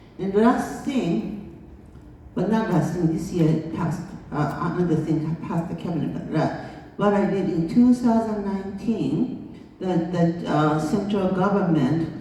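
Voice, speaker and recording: A woman's fairly low voice with a Japanese accent, ordinary pitch variation and a fairly slow pace, with audible room echo and noticeable background noise. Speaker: international school founder. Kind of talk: conference speech.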